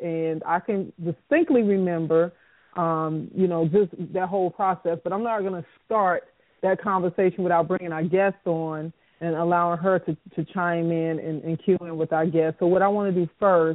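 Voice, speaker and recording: Here is a woman with an unremarkable speaking voice, fairly low in pitch. She talks at a moderate pace with fairly even intonation. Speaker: radio show host and producer. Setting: live radio broadcast.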